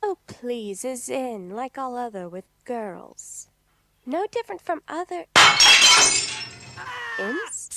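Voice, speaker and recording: Using a put-on character voice, a female-sounding speaker talks at a high pitch and a fairly slow pace with long, frequent pauses. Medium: audio drama. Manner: halting, ungrammatical.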